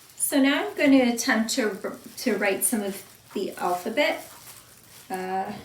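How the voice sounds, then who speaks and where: Lively intonation amid audible room echo and noticeable background noise. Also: woman, fairly high pitch for a woman, fairly slow pace. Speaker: student doing a class exercise. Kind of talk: self-recorded demonstration. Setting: at home. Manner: loud; hesitant.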